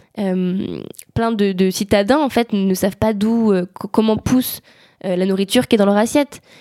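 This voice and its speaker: On a very clean recording with a silent background, a woman with a medium pitch and a dark, mellow tone speaks at a moderate pace in a dry, close sound with no echo. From France, Savoie. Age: 20s. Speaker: climate activist. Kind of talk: interview. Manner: animated.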